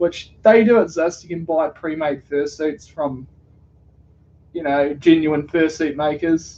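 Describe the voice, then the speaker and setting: Speaking at a fairly slow pace, this voice comes with a New Zealand accent. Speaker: streamer. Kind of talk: casual live stream chat.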